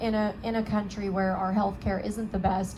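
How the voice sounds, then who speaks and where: With audible room echo, the speaker talks at a moderate pace in a monotone, flat intonation. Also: woman. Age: 20s. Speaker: spinal cord injury survivor and counselor. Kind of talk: testimony. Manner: hesitant, many fillers.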